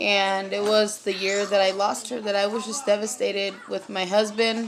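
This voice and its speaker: Speaking at a moderate pace with an American accent, a woman holds a medium pitch in a monotone, flat intonation. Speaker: vlogger. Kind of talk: personal testimony. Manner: halting, many fillers.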